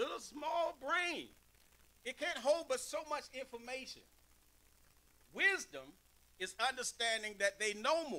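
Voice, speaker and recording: Projecting a raised voice at an extremely high pitch, a man talks with a bright, sharp tone and lively intonation at a fairly slow pace, leaving long, frequent pauses. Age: 50s. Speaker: pastor. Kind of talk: sermon. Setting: church. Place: church. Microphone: podium.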